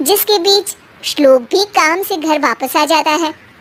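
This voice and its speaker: In a cartoonish character voice at a high pitch, the speaker goes at a moderate pace. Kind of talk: cartoon moral story narration. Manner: brisk, amused.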